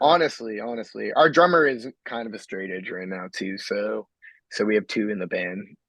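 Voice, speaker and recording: In a normal speaking voice, a man with an American accent talks at a moderate pace and a fairly low pitch, with lively intonation. His loudness swings widely, and the background is quiet. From Massachusetts, near Boston. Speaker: metal band vocalist. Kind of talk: casual podcast interview.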